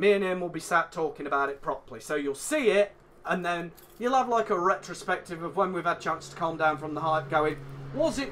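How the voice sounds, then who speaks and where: Over noticeable background noise, a man with an English accent and a high pitch speaks at a fairly quick pace, with ordinary pitch variation and big swings in loudness. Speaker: podcast co-host. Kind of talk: casual chat.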